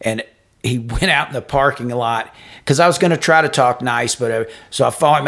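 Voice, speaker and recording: An ordinary speaking voice at a fairly quick pace, captured in a very clean recording with a silent background. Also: man. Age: 50s. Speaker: podcast co-host, businessman. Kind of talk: casual chat.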